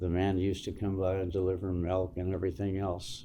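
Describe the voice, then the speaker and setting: Heard with audible room echo, a man with an American accent has a very deep, low pitch and a dark, mellow tone. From Southern California (Santa Monica). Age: 70s. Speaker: former biker club member. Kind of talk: life story interview. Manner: halting.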